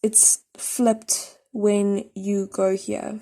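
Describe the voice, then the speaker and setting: On a very clean recording with a silent background, a woman speaks with a fairly high pitch, a dark, mellow tone and fairly even intonation. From South Africa. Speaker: drawing tutorial creator. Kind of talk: tutorial.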